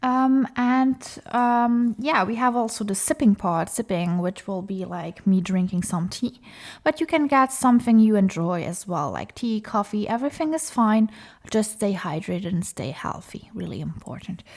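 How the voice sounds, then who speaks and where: On a very clean recording with a silent background, a woman speaks with a non-native accent at a fairly high pitch. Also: lively intonation, moderate pace. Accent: non-native English, self-described as rusty. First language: not English; comfortable in French. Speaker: craft YouTuber, diamond painter. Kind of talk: casual chat while crafting. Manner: hesitant, many fillers.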